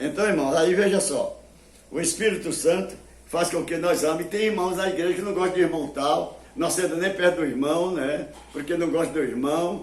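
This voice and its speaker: Against noticeable background noise and audible room echo, a man talks at a high pitch. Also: ordinary pitch variation, moderate pace. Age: 80s+. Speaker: preacher. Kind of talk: sermon. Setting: television broadcast.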